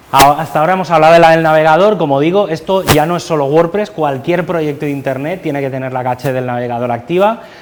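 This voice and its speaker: A man talks at a fairly high pitch with ordinary pitch variation. Noticeable background noise runs underneath. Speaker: conference speaker. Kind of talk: technical talk. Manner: fast. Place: classroom. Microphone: lapel.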